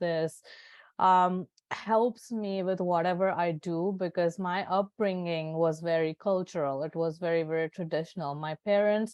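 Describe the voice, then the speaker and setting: A woman with an Indian accent speaks at a fairly slow pace and medium pitch, with ordinary pitch variation, in a dry, close sound with no echo over a quiet background. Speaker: Ayurvedic doctor. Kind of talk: interview. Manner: hesitant, many fillers.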